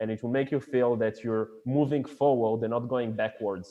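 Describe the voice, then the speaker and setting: A man's medium-pitched voice with a French accent and fairly even intonation. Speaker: e-commerce company founder. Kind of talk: live podcast interview. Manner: halting, searching for words.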